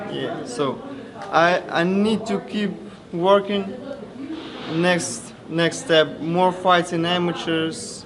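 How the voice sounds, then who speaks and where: Amid noticeable background noise and audible room echo, a man speaks at a very slow pace with long, frequent pauses. His pitch is high, with ordinary variation. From Ukraine. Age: 20s. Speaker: amateur boxer. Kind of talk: post-fight interview. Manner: halting.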